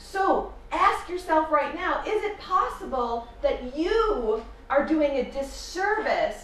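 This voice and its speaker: A woman with an American accent speaks at an extremely high pitch in an animated tone with lively intonation, over noticeable background noise and audible room echo. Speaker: motivational speaker. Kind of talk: conference talk. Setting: stage with audience.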